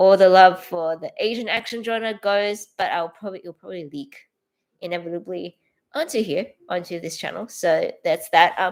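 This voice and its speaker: A woman with an Australian accent speaks at a moderate pace and a medium pitch, her loudness swinging widely while her pitch varies in an ordinary way, on a very clean recording with a silent background. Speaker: filmmaker and artist, channel owner. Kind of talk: casual livestream self-introduction. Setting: livestream, solo to camera. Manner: hesitant, many fillers and restarts.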